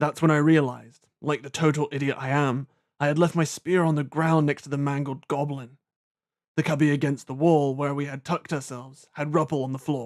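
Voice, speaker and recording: A man with a British accent speaks fairly quickly in a flat monotone, his pitch fairly high for a man, on a very clean recording with a silent background. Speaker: audiobook narrator. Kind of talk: audiobook narration of a fantasy novel.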